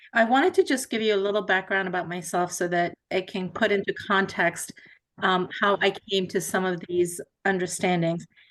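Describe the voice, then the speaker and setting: A woman's normal speaking voice, medium in pitch, with fairly even intonation at a moderate pace. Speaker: faith community representative. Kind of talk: presentation.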